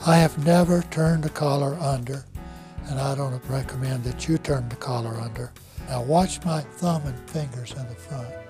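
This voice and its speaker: Over music in the background, a man with a fairly high pitch and ordinary pitch variation speaks at a fairly slow pace. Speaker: master barber and barber school teacher. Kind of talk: instructional demonstration talk to camera. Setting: barber shop or school.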